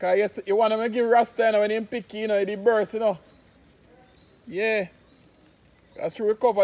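With a Jamaican accent, a man speaks in a high pitch, leaving long, frequent pauses. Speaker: vlogger and concrete products maker. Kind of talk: casual vlog narration. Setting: outdoors in the rain. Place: open country. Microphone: phone near.

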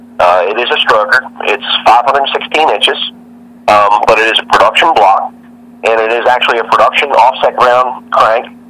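A man keeps a moderate pace while noticeable background noise is present. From Northern Virginia (Arlington, DC area). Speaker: drag racing driver. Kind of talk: interview.

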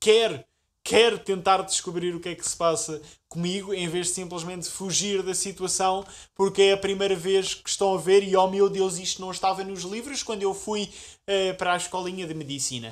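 Speaking at a high pitch, the man shows big swings in loudness. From Portugal. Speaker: youtuber. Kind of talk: vlog monologue. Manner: animated. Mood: frustrated but humorous. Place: home room. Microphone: camera far.

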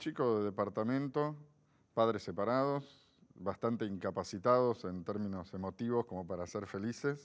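A man delivers his words rather slowly, his pitch varying in an ordinary way. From Argentina, Buenos Aires. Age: 50s. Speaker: philosopher; interview guest. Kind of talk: interview. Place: studio. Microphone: lapel.

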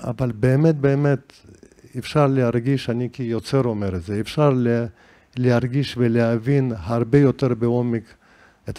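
Speaking fairly slowly in a Caucasus accent, a man with a medium pitch and a dark, mellow tone uses ordinary pitch variation. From Dagestan, Derbent (Caucasus). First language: Juhuri (speaking Hebrew). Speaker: composer and musicologist. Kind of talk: interview conversation. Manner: halting.

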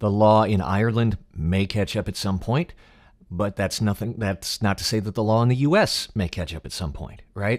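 At a moderate pace, a man with an American accent speaks at a fairly low pitch against a quiet background. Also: ordinary pitch variation. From United States. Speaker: voice actor. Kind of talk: podcast interview host. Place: home room. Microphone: studio mic.

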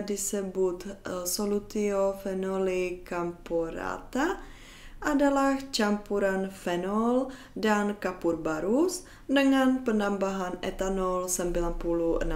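Very slowly, a woman talks with a Czech accent. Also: ordinary pitch variation. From Czech Republic. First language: Czech (speaking Indonesian). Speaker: YouTuber; educational vlogger. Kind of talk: educational vlog; educational vlog talk. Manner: hesitant with frequent fillers. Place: home room.

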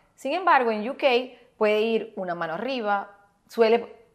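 Against a quiet background, a woman with a Maracaibo accent speaks at a fairly high pitch with ordinary pitch variation. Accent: Maracaibo Venezuelan. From Venezuela, Maracaibo; Venezuela. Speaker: actress and etiquette instructor; actress, etiquette instructor. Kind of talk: tutorial. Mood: upbeat, amused. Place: home room.

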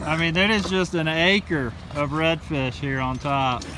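Over clear background noise, a man speaks at a fairly slow pace and a fairly high pitch. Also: ordinary pitch variation.

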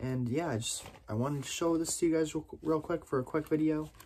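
The voice is somewhat breathy and moves at a fairly quick pace. Its pitch varies in an ordinary way over light background noise. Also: man. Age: 20s. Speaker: YouTube vlogger. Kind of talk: casual vlog to camera. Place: home room. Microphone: phone near.

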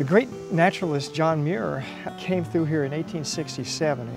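Loud music plays in the background as a man talks at a fairly quick pace. The sound is dry, with no echo. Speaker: local cave guide. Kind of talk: interview answer. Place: forest.

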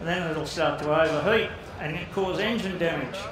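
A man with a high pitch talks at a moderate pace and with fairly even intonation. Audible room echo and noticeable background noise surround him. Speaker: speaker. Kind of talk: informal talk to an audience. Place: hall. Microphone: headset.

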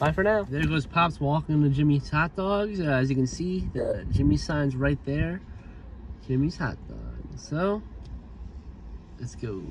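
A man talks at a fairly slow pace, with long, frequent pauses. The sound is dry with no echo, and there is noticeable background noise. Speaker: food review vlogger. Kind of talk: casual vlog chat. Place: car. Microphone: phone near.

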